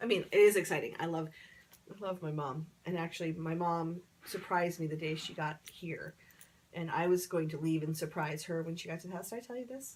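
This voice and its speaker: With a normal speaking voice, a woman talks at a fairly quick pace in a fairly low pitch, using ordinary pitch variation. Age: 40s. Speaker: preschool teacher. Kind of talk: casual chat. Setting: sitting on a couch.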